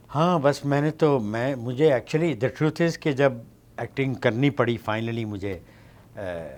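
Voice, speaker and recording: With ordinary pitch variation, the man's voice stays at a medium pitch. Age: 60s. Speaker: actor. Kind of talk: interview. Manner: hesitant, code-switching.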